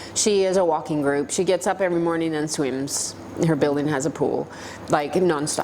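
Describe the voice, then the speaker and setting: Over noticeable background noise, a woman with a very deep, low pitch talks at a moderate pace with fairly even intonation. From Canada, Toronto. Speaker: para-cycling world champion. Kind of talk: interview.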